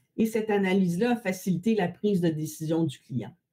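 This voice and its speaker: The voice has a dark, mellow tone, a moderate pace, and ordinary pitch variation. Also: woman. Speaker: value analysis consultant. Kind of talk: webinar presentation. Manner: many filler hesitations.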